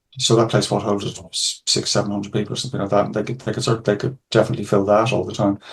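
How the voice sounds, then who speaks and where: A man with an Irish accent talks at a very fast pace in a fairly low, somewhat breathy voice. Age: 60s. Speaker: music lecturer and author. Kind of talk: podcast interview. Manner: halting, many repetitions.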